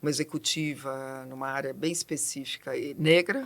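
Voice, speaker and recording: A woman speaks with a very deep, low voice. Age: 60s. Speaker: diversity consultant, psychologist. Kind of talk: podcast interview. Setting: studio. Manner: fast.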